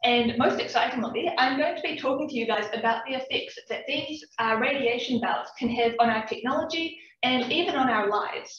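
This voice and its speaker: A woman with a New Zealand accent speaks at a high pitch with ordinary pitch variation. Her moderate pace has hardly any pauses, and room echo is audible. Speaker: PhD student researcher. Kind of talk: public science talk. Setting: talk with live and Zoom audience.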